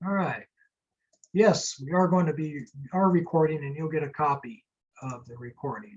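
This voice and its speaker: A normal speaking voice moves at a moderate pace with ordinary pitch variation. Its loudness swings widely. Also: man, fairly high pitch for a man. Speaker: startup and venture capital attorney. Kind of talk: webinar lecture.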